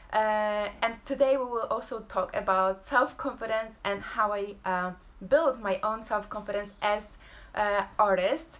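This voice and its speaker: A woman speaks with a fairly high pitch. Her intonation is fairly even and her pace fairly slow. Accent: Polish. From Poland. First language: Polish. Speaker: abstract painter and creative entrepreneur. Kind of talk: casual live-stream talk. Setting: home, social media live video. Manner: halting, many fillers.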